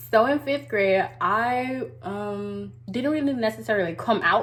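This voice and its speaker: A woman talks very slowly with vocal fry and very wide pitch swings. Room echo is audible. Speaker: beauty vlogger. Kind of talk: casual story time. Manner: words run together.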